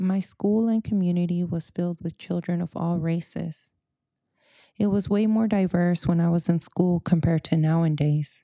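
Fairly even intonation and a dark, mellow tone come at a moderate pace, with a dry, close sound with no echo and a quiet background. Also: woman, fairly low pitch for a woman. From US West Coast, Silicon Valley, Mexican-American. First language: Spanish. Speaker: podcast host. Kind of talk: personal monologue.

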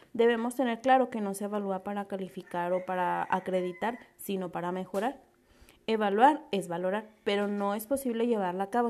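A woman with a normal speaking voice of medium pitch and ordinary pitch variation talks at a fairly quick pace against a quiet background. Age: 20s. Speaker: pedagogy student and community teacher. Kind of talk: class presentation.

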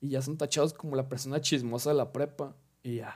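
Delivered at a fairly quick pace, the voice keeps a monotone, flat intonation. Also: man. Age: young. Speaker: podcast host. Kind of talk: casual monologue.

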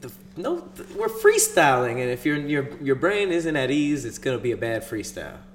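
A man's lively intonation and moderate pace come through despite noticeable background noise. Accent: American. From Los Angeles. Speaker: podcast co-host. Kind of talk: casual chat.

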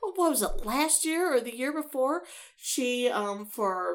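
With an American accent and a plain, everyday voice, a woman speaks at a moderate pace with lively intonation. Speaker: podcast co-host. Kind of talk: casual chat podcast banter.

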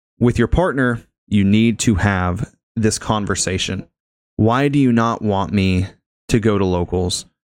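A man speaks in a normal speaking voice, fairly low in pitch, at a fairly slow pace with ordinary pitch variation. The recording is very clean, with a silent background. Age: 20s. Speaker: podcast host. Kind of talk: casual chat.

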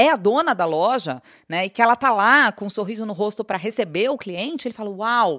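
In a quiet background with a dry, close sound and no echo, a woman talks at a fairly quick pace, her pitch swinging very widely. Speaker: business executive. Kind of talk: interview.

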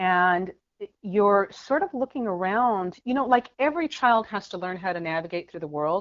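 A woman's medium-pitched voice with lively intonation at a moderate pace. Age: 40s. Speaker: author and abuse survivor activist. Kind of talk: interview.

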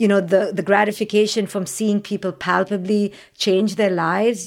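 A woman with an Indian accent talks at a fairly high pitch. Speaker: clinical psychologist and parenting expert. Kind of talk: interview. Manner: articulate.

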